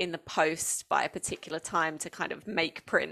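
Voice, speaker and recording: A woman with a southeast English accent is heard in a very clean recording with a silent background. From England, Essex. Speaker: education designer and former teacher, podcaster. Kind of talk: interview.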